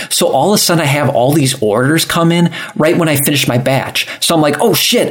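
A man speaks at a fairly quick pace, with ordinary pitch variation and very even loudness. Noticeable background noise sits behind him. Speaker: festival organizer. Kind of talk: casual chat. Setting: live-streamed podcast.

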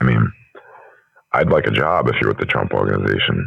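A man talks at a very fast pace. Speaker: prank call recipient. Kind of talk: phone conversation. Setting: phone call.

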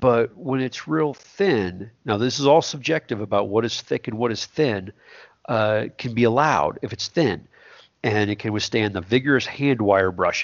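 A man talks with a Texan accent at a moderate pace. His medium-pitched voice has lively intonation. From South Texas. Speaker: welding engineer and podcast co-host. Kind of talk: technical discussion. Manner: halting, many fillers.

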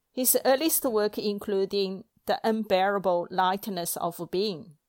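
A woman's very slow speech in a Chinese accent, medium in pitch with ordinary variation, in a very clean recording over a silent background. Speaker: library podcast presenter. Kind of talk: scripted talk on books.

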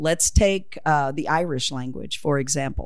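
A woman speaks with a Southern US accent. Her intonation is lively. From US South (Oklahoma). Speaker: retired English teacher. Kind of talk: casual interview about dialect.

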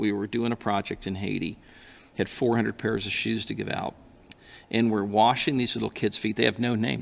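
At a moderate pace, a man speaks with a fairly low pitch, fairly even intonation and vocal fry. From Alaska. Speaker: pastor. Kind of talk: casual chat.

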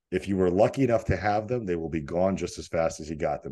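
A man with an American accent talks at a very fast pace in a very deep, low voice, his dark, mellow tone carrying vocal fry and lively intonation against a quiet background. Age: 40s. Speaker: fitness coach. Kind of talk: casual interview chat.

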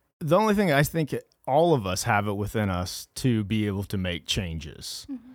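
With an American accent, a man speaks at a fairly low pitch with very wide pitch swings and hardly any pauses, on a very clean recording with a silent background. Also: moderate pace. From rural Kansas, Flint Hills. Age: 40s. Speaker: recovered addict telling his story. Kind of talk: testimony.

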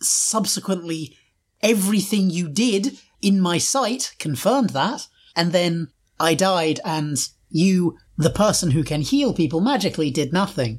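A woman speaks with lively intonation and a fairly low pitch for a woman. Her voice is somewhat breathy. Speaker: player in a tabletop roleplaying game. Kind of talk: actual-play tabletop roleplay podcast, in-character play.

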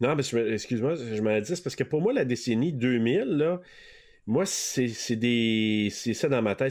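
Over a quiet background, a man with an unremarkable speaking voice and medium pitch speaks at a fairly slow pace with ordinary pitch variation. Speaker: podcast co-host guest. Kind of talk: casual chat.

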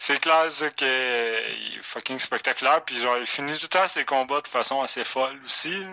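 Using a plain, everyday voice, a man talks at a medium pitch and a moderate pace with ordinary pitch variation. He hardly pauses at all. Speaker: sports podcast co-host. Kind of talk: casual chat.

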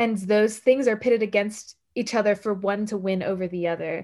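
Over a quiet background, a woman with an unremarkable speaking voice talks at a fairly high pitch with fairly even intonation. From US South, Puerto Rican and Dominican family. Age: 20s. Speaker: activist and organization director. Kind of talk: casual interview.

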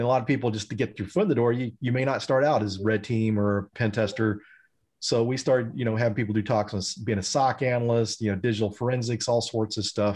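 Speaking very fast with a Texan accent, a man keeps a medium pitch and fairly even intonation against a quiet background. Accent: Texan American. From Texas, Denton. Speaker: cybersecurity professional and instructor. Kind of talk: casual chat.

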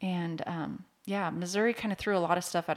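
A woman with an American accent speaks in a fairly low pitch with vocal fry and ordinary pitch variation, on a very clean recording with a silent background. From Washington State, near Seattle. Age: 40s. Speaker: mortgage loan officer. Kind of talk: casual interview.

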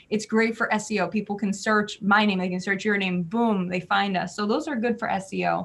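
With an American accent, a woman speaks at medium pitch, somewhat breathy, with ordinary pitch variation. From New Jersey. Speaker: PR and marketing business owner. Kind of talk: interview.

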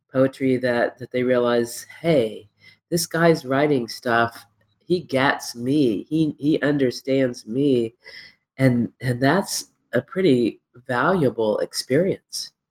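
A woman with an American accent, very deep and low in pitch, at a very slow pace with ordinary pitch variation, dry and close with no echo. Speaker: podcast host. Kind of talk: casual interview. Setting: remote call.

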